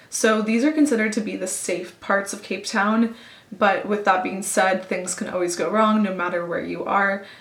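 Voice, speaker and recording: Noticeable background noise behind a woman at a moderate pace, her medium pitch carrying ordinary pitch variation. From Canada, Toronto. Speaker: travel vlogger. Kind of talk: storytelling vlog. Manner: chatty.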